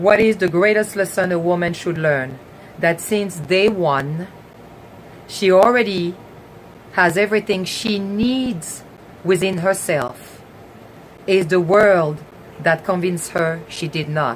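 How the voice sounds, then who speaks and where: Speaking at a very slow pace with long, frequent pauses, a woman with a medium-pitched voice talks in a French accent over noticeable background noise. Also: ordinary pitch variation. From France. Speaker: talk show host. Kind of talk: live stream talk. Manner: halting.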